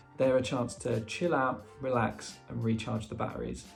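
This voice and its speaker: There is music in the background. Over it, a man talks at a moderate pace. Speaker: book reviewer. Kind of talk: casual talk to camera.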